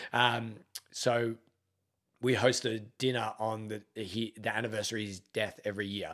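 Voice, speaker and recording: A man talks in a fairly low pitch with an Australian accent. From Australia, Melbourne. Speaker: gym owner and army veteran. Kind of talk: casual interview.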